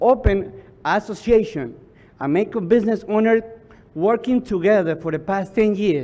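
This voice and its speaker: A man with a Spanish accent speaks at a fairly slow pace. His pitch is high, with ordinary variation. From Ecuador. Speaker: business association leader. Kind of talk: public testimony. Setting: public hearing. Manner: halting.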